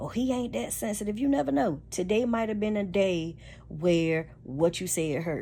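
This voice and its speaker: With audible room echo, a woman speaks at a moderate pace in a dark, mellow tone, her fairly low pitch swinging very widely. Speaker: relationship vlogger. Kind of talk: casual monologue. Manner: loud; animated.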